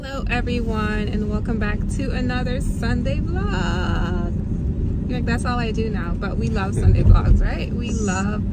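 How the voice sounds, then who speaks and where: Recorded with a dry sound and no echo, a woman speaks against loud background noise. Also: fairly slow pace. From Jamaica. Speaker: family vlogger. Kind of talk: casual talk to camera. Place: car. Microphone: phone near.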